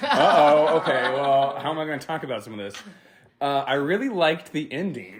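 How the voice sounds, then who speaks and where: A man speaks loudly with a fairly high pitch. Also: ordinary pitch variation, fairly quick pace. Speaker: podcast co-guest discussing magick. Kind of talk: casual chat. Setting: home living room recording. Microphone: too close to the mic.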